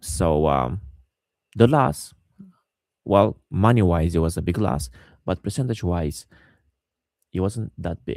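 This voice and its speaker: A man with a non-native accent, a very deep, low pitch, vocal fry, lively intonation and a fairly slow pace, on a very clean recording with a silent background. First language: not English. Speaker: day trader. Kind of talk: trading recap tutorial. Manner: halting, many fillers and repeats.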